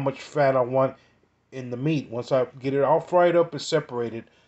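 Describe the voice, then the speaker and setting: The background is quiet while a man speaks. His pace is moderate and his pitch variation ordinary. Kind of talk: tutorial. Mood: relaxed, informative. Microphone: phone near.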